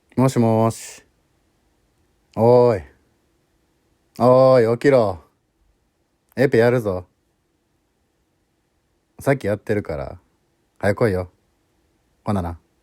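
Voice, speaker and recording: In a Kansai accent, a man talks at a medium pitch and a fairly slow pace, with long, frequent pauses. His tone is dark and mellow, with ordinary pitch variation. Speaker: voice actor. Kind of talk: voice message, wake-up call. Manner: casual.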